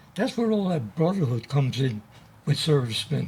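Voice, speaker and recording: A man speaks with lively intonation. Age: 80s+. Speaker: Navy veteran. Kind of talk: interview.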